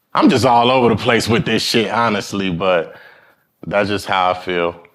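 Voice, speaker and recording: A man with an American accent speaks at a moderate pace in an unremarkable speaking voice, his pitch varying in an ordinary way. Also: fairly low pitch for a man. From New York, Brooklyn (East New York). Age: 20s. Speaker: rapper and guitarist. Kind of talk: casual interview. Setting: studio with live audience.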